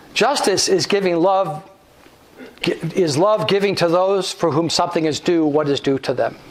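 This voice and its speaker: A man speaks at a high pitch and a moderate pace, with very even loudness and ordinary pitch variation. Noticeable background noise is present. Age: 70s. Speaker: guest speaker, theologian. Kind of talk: lecture. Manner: halting.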